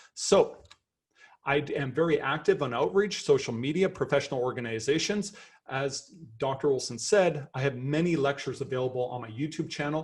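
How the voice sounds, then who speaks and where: With a Canadian accent, a man speaks in an animated tone at a fairly quick pace against a quiet background. His fairly high voice is somewhat breathy, with lively intonation. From Canada. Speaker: professor. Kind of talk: lecture.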